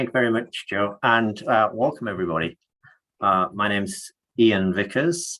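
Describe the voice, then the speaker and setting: With an English accent, a man talks at a moderate pace and with ordinary pitch variation. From northeast England. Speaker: health network manager. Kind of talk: webinar presentation.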